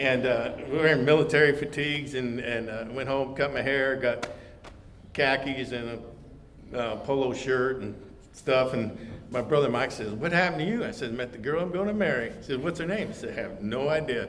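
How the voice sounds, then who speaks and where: Over noticeable background noise and audible room echo, a man talks at a fairly quick pace and a medium pitch. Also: ordinary pitch variation. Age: 70s. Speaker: Bible study teacher. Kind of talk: Bible study lesson with personal stories. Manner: halting, many fillers.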